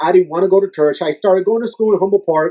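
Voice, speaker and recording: With a strong Puerto Rican accent, a man speaks at a fairly quick pace. His voice is high-pitched and dark and mellow in tone. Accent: heavy Puerto Rican Spanish accent in English. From Puerto Rico. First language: Spanish. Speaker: youth minister and fitness trainer. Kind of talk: podcast interview.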